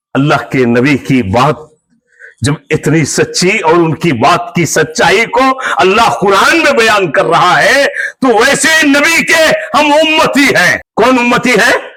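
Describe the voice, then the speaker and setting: This man's high-pitched voice is raised and projected, with very wide pitch swings and very even loudness. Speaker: imam giving Friday sermon. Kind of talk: sermon. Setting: mosque.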